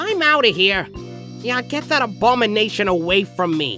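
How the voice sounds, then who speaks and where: At a moderate pace, a female-sounding voice performs a put-on character voice over clear music in the background. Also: medium pitch for a woman. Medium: dub. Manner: disgusted, yelling.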